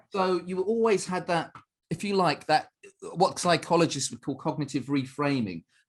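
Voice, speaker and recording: With music in the background, a man speaks at a moderate pace in a high pitch. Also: ordinary pitch variation. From East London, England (Ilford, Essex). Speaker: martial arts instructor. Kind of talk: podcast interview. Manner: casual, halting with fillers.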